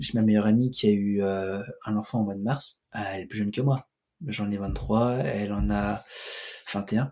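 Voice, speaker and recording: A man speaks at a fairly slow pace, with long, frequent pauses. His pitch is fairly low and his intonation fairly even. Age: 20s. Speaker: host's cousin. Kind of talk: casual chat.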